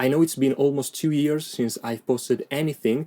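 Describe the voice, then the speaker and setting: Speaking with an Italian accent, a man uses a dark, mellow tone at a moderate pace in a dry, close sound with no echo. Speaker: guitarist and music educator YouTuber. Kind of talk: tutorial.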